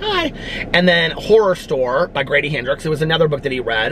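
A man with a fairly high pitch talks at a fairly quick pace and lively intonation. Noticeable background noise sits behind him. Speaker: book YouTuber. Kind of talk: casual vlog chat. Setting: outdoors outside a fast food restaurant. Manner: chatty, filler-heavy.

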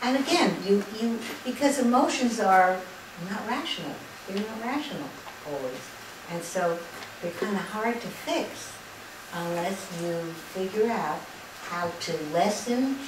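Amid noticeable background noise and audible room echo, a woman speaks at a fairly slow pace with long, frequent pauses. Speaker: lecturer on spirituality. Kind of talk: lecture. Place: hall. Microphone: camera far.

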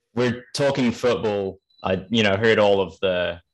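With a London accent, the man delivers his lines. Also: quiet background. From London, England. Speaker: podcast host. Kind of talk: casual interview. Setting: remote call. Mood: jokey, smiling. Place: home room. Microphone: studio mic.

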